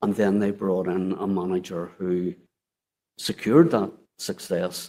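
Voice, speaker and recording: Speaking with an Irish accent, a man has a very deep, low pitch and a dark, mellow tone. His pace is fairly slow and his intonation fairly even. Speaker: former council chief executive, inquiry witness. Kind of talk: inquiry testimony. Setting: public inquiry hearing room.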